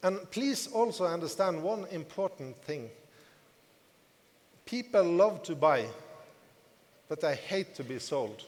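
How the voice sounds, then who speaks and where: Speaking at a moderate pace, a man with a non-native accent uses a high pitch and very wide pitch swings. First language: not English. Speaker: network marketing business leader. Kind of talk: motivational talk to audience. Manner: repetitive, emphatic.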